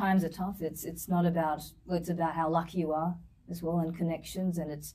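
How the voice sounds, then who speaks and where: A woman speaks in an Australian accent at a fairly low pitch. Her dark, mellow tone is somewhat breathy, with monotone, flat intonation. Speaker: singer and violinist. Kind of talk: interview. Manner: repeats words, halting.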